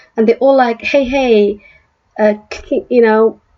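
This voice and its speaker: This woman's voice has a dark, mellow tone, a fairly high pitch and ordinary pitch variation. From South Africa. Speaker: political commentary youtuber. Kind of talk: opinion commentary. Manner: animated; halting.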